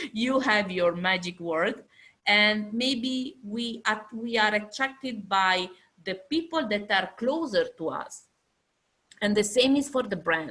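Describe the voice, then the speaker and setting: Speaking very slowly in an Italian accent, a woman uses lively intonation and a bright, sharp tone at a fairly high pitch. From Italy. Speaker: fashion industry lecturer. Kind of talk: lecture. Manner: halting.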